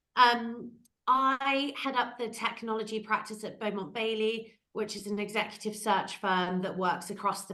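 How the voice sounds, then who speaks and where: A woman with a bright, sharp tone talks at a moderate pace with fairly even intonation. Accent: British. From UK. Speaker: executive recruiter. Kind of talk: panel discussion.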